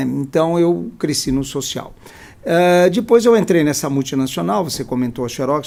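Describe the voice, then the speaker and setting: A man's dark, mellow voice with lively intonation at a moderate pace. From São Paulo state, Brazil (near Campinas). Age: 70s. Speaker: social impact executive. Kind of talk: interview.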